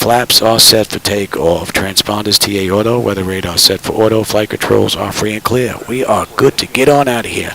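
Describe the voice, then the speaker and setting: With a strong New York accent, a man speaks at a moderate pace with hardly any pauses, fairly low pitch, and fairly even intonation over noticeable background noise. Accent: New York accent, still strong. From New York City (Brooklyn). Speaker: flight sim streamer. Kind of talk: live stream commentary with checklist callouts. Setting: home cockpit simulator, live stream. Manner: casual, conversational.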